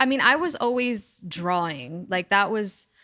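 Recorded very cleanly against a silent background, a woman with an American accent speaks at a fairly slow pace in a bright, sharp tone. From New York, the Bronx. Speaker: furniture designer. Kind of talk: interview. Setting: her studio.

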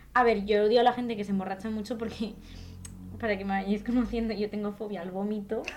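A woman talks at a very fast pace in a fairly high pitch, with monotone, flat intonation. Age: 20s. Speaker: actress. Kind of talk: casual chat.

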